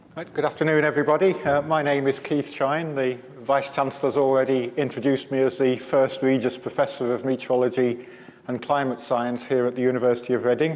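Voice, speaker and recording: A man at a very fast pace in a monotone, flat intonation, with noticeable background noise. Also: medium pitch for a man. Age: 60s. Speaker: climate science professor. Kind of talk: public lecture. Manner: halting, many repeated words.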